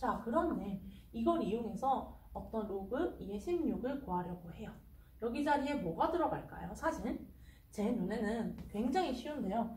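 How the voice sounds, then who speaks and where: Lively intonation carries through audible room echo at a fairly slow pace. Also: woman, fairly high pitch for a woman. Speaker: math tutor. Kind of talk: tutorial.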